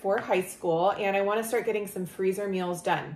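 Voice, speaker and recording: Audible room echo fills the space. Within it, a woman talks at a moderate pace. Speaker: lifestyle vlogger. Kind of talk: casual vlog chat. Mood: friendly, relaxed. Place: home room. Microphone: camera far.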